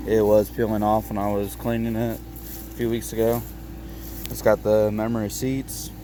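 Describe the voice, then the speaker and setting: There are big swings in loudness as a man speaks over noticeable background noise. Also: moderate pace. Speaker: car owner vlogger. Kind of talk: casual walkaround video. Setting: outdoors in the cold. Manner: halting, stuttering.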